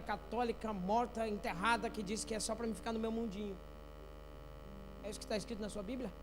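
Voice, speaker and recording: Audible room echo surrounds a man talking at a fairly quick pace with a high pitch. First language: not Portuguese (speaking Portuguese). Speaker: pastor. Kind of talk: sermon. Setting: church. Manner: animated.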